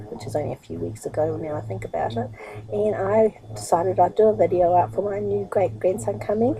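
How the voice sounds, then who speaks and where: Noticeable background noise sits behind a woman's voice. She speaks at a fairly quick pace, with big swings in loudness. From New Zealand. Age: 60s. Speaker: internet marketer and vlogger. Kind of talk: casual vlog monologue. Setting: sitting on her bed at home. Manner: fast, rushing.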